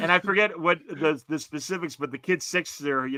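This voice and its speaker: Bright, sharp, fairly high-pitched male voice in a Chicago accent, fairly quick with lively intonation, dry and close with no echo. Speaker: podcast co-host. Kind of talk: casual chat.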